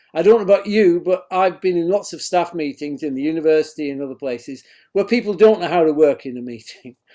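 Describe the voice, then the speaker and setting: Very fast and high-pitched, a man speaks with a Northern English accent and a dark, mellow tone. His loudness swings widely, while his pitch variation is ordinary. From northern England. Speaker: education researcher and professor. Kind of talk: lecture. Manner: formal.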